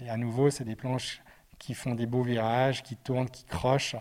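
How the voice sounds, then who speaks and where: In monotone, flat intonation, a man speaks at medium pitch and a fairly slow pace with a dark, mellow tone. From Switzerland, Geneva. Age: 40s. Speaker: snowboard brand director. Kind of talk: interview. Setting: brand showroom.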